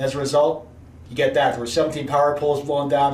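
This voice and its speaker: A man with a fairly high pitch and a US East Coast accent, with audible room echo and noticeable background noise. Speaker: meteorologist. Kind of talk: weather briefing presentation.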